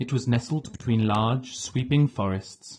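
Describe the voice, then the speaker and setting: The man's voice is dark and mellow and somewhat breathy. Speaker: audiobook narrator. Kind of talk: audiobook narration.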